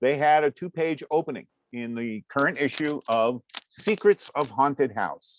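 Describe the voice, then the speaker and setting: With a plain, everyday voice, a man speaks at a moderate pace and fairly high pitch, his intonation lively, in a dry, close sound with no echo. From US Northeast, Vermont (Waterbury area). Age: 60s. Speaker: comics artist and lecturer. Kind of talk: lecture. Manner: conversational, with frequent fillers.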